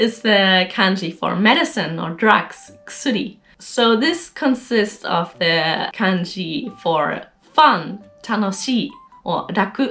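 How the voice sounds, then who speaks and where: Music plays in the background while a woman speaks at a medium pitch. She goes at a very slow pace with lively intonation. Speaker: Japanese learner sharing study tips. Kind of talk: casual talk to camera, explainer.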